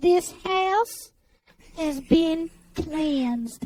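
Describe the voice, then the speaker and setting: Pitched extremely high, a woman puts on a character voice. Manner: eerie, calm, sing-song.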